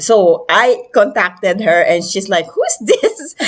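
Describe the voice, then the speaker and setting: A woman with a Filipino accent at a very slow pace, against a quiet background. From Philippines. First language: Filipino language. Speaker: interview host. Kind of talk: casual interview chat. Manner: hesitant, many fillers.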